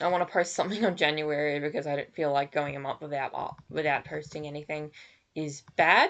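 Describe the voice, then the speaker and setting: Speaking at a fairly quick pace, a woman with an Australian accent keeps her intonation fairly even. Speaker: digital artist streamer. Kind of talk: casual live stream chat. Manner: halting.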